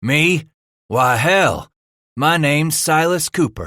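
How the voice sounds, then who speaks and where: Putting on a character voice, a man with a fairly high pitch speaks at a fairly slow pace with ordinary pitch variation. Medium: read story. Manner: gruff, profane, authoritative.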